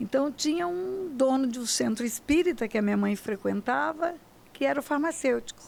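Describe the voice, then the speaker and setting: Her voice high and her intonation lively, a woman is talking. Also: moderate pace. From Brazil, Mato Grosso (Aquidauana). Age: 70s. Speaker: pastor and federal judge. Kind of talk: interview testimony.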